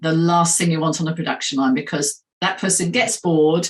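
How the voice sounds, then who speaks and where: Somewhat breathy, a woman talks with a Southern English accent. Her pace is fairly quick. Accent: English accent, more southern. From England, Nottingham. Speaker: hiring expert. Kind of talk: interview.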